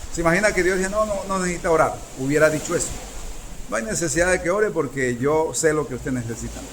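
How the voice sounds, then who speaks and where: A man talks very fast with lively intonation and fairly high pitch. Noticeable background noise and audible room echo surround him. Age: 60s. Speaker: preacher. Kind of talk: sermon.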